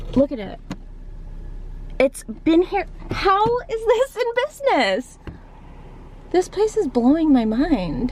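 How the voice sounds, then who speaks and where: With an American accent, a woman speaks at a fairly slow pace in a high pitch, her voice making very wide pitch swings and big shifts in loudness over noticeable background noise. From Pennsylvania, Philadelphia area. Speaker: vlogger. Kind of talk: casual vlog talk to camera.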